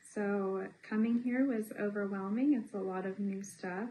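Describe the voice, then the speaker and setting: This woman's tone is dark and mellow. She talks very slowly. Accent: American. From US South, Tennessee (Johnson City). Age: 20s. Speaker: English teaching assistant. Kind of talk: interview. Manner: halting, many fillers.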